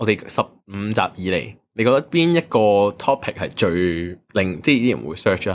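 At a fairly slow pace, a man with a fairly low pitch talks with very wide pitch swings. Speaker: podcast co-host. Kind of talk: casual chat.

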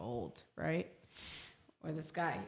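In a New York accent, a woman speaks at a very deep, low pitch. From New York City, Manhattan. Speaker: podcast co-host. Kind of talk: casual chat.

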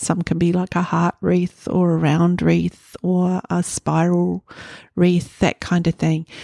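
Dry and close with no echo, a woman's voice comes through at a very slow pace and very even loudness. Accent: New Zealand. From New Zealand, Northland (Hokianga). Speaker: quilt pattern designer. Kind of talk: interview.

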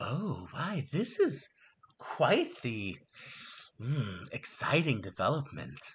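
A man puts on a character voice, fairly high in pitch, speaking very slowly with long, frequent pauses and very wide pitch swings. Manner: calm, soothing.

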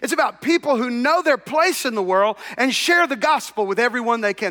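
A man speaks in a raised, projected voice at an extremely high pitch, with a bright, sharp tone. His intonation is lively and his pace fairly quick. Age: 60s. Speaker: pastor. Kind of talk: sermon.

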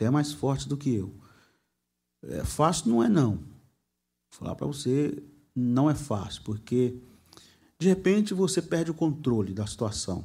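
A man with a dark, mellow tone and medium pitch speaks at a fairly slow pace, somewhat breathy, with very wide pitch swings and long, frequent pauses. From Brazil, Guarulhos (Greater São Paulo). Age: 40s. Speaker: pastor and preacher. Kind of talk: casual interview chat. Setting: studio, live stream.

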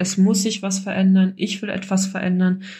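The woman speaks at medium pitch. Her voice is somewhat breathy. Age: 30s. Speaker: course graduate sharing success story. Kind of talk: personal testimony.

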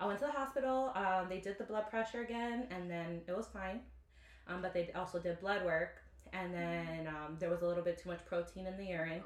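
Noticeable background noise fills the recording. A woman talks with ordinary pitch variation. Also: medium pitch for a woman. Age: 20s. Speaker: school district employee and mother. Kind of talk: casual chat.

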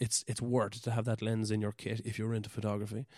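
A man with a Cork accent speaks in a fairly low pitch with monotone, flat intonation. The recording is very clean with a silent background, and the sound is dry and close with no echo. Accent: Cork Irish. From Ireland, West Cork. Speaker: podcaster and amateur photographer. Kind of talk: casual solo monologue. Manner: halting, many fillers.

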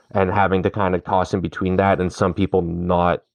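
This man has a plain, everyday voice with a Canadian accent and a fairly low pitch. He talks at a moderate pace. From Canada. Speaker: podcast co-host. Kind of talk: casual chat.

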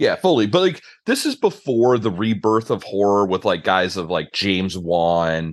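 A man's fairly low voice, an unremarkable speaking voice at a fairly slow pace, over a quiet background. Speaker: podcast host. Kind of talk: casual chat about a movie. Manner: casual, conversational.

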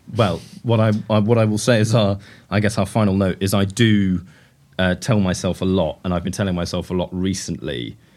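Speaking very fast with a British accent, a man uses a very deep, low pitch and ordinary pitch variation on a very clean recording with a silent background. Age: young. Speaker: podcast host, fashion journalist. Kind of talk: interview. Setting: showroom.

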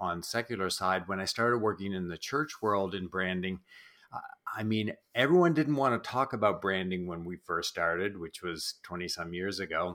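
A man with a slight Canadian Maritime accent speaks at a moderate pace in a fairly low pitch with a bright, sharp tone. His pitch varies in an ordinary way. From New Brunswick, East Coast Canada. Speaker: church branding specialist and author. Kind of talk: interview.

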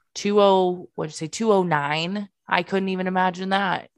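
The background stays quiet. A woman's speech moves at a moderate pace. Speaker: podcast co-host, NICU parent. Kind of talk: casual chat podcast.

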